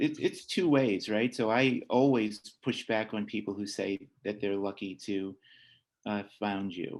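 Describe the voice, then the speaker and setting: A man with a plain, everyday voice speaks in a fairly low pitch with ordinary pitch variation over a quiet background. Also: fairly slow pace. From Long Island, New York. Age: 60s. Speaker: adoptive parent and foster care alumnus speaker. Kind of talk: workshop talk and Q&A. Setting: video call.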